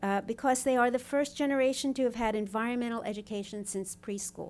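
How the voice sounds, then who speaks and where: At a fairly quick pace and with ordinary pitch variation, a woman speaks on a very clean recording with a silent background. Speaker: professor and author. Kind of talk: panel talk. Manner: soft-spoken; hesitant, many fillers.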